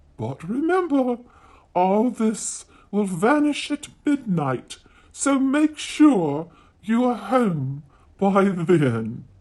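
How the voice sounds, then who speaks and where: This is a put-on character voice pitched fairly high. It moves very slowly with very wide pitch swings. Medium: read story. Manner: warm, motherly.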